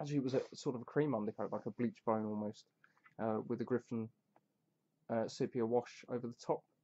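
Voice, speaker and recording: Very fast speech from a man, with fairly even intonation and long, frequent pauses. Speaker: tabletop wargamer showing his painted army. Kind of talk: casual chat. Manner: hesitant, with many fillers. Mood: relaxed, enthusiastic. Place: home room. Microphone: webcam.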